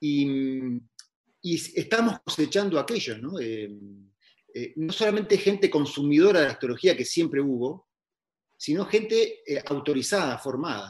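The speaker moves at a fairly slow pace with long, frequent pauses. Pitch swings very widely. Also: man, fairly high pitch for a man. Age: 50s. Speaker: astrologer. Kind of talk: casual interview conversation. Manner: halting, many repetitions.

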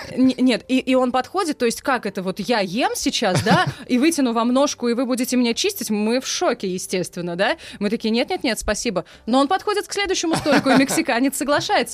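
The delivery is fairly quick, with very wide pitch swings throughout. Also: woman. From Russia, Saransk. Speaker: former radio news presenter. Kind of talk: casual chat. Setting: studio.

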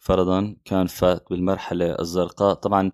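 This man has a normal speaking voice, pitched fairly low. He talks at a fairly slow pace on a very clean recording with a silent background. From Syria. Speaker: podcaster and graphic designer. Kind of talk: solo podcast monologue.

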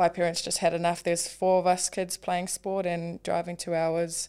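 A woman at a fairly low pitch with a New Zealand accent, on a very clean recording with a silent background. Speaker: professional rugby league player. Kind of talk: casual interview.

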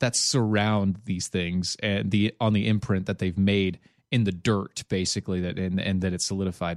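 Here a man has a normal speaking voice, fairly low in pitch, moving at a moderate pace with fairly even intonation. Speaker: podcast co-host. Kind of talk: casual chat.

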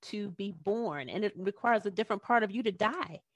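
Against a quiet background, with a dry, close sound and no echo, a woman with an unremarkable speaking voice talks at a fairly quick pace and a fairly high pitch. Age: 40s. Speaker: life coach and author. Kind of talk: interview. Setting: video call.

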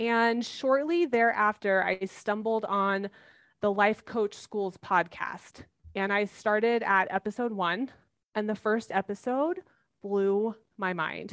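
A woman speaks fairly slowly at a medium pitch with ordinary pitch variation, in an unremarkable speaking voice. The sound is dry and close, with no echo. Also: very clean recording, silent background. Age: 40s. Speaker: life coach. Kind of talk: interview.

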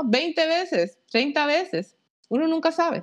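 High in pitch, a woman's voice comes through. She speaks at a fairly slow pace. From Costa Rica. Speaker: aerospace engineer. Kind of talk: interview. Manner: halting, many fillers.

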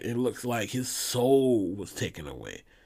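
An animated male voice with lively intonation at a fairly slow pace on a very clean recording with a silent background. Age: 40s. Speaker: podcast host. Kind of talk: casual solo monologue.

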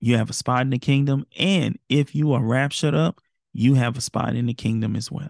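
A man talks at a moderate pace and medium pitch, with ordinary pitch variation. His tone is warm and animated, and the sound is dry and close with no echo. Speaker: Bible teacher podcast host. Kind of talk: Bible study teaching with a closing prayer. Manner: earnest, pleading, fervent tone of a preacher leading a prayer; warm and animated, direct address to listeners.

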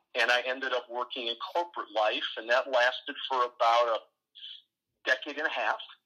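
A man talks in a Midwestern American accent. He keeps a moderate pace with hardly any pauses. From US Midwest, Ohio. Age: 40s. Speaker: entrepreneur and advisor. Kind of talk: interview.

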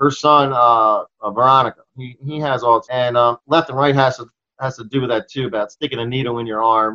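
A man with an American accent has a normal speaking voice, talking at a fairly quick pace in a medium pitch with big swings in loudness, in a dry, close sound with no echo. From Maryland (Towson, outside Baltimore). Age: 50s. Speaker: rock musician. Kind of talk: casual interview chat. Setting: video call.

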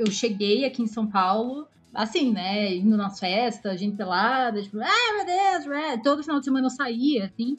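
Music plays in the background. The speech runs on with hardly any pauses. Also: woman, fairly high pitch for a woman, lively intonation, moderate pace. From Curitiba, southern Brazil. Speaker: guest. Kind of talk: casual chat.

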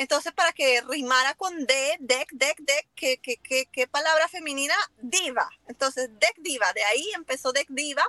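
Her voice high and bright, with a sharp tone, a woman speaks raised and projected at a fairly slow pace with ordinary pitch variation, in a dry, close sound with no echo. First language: English (speaking Spanish). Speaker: lumber importer, business owner. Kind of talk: casual interview.

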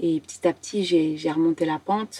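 In a dry, close sound with no echo, a woman talks at a moderate pace and a fairly low pitch. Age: 20s. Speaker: professional dancer and acrobat. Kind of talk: personal testimony in podcast interview. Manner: halting.

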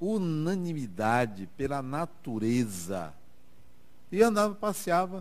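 Very wide pitch swings mark this man's fairly high voice. He speaks at a very slow pace. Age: 60s. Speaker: spiritist lecturer. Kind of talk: lecture. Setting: stage with audience.

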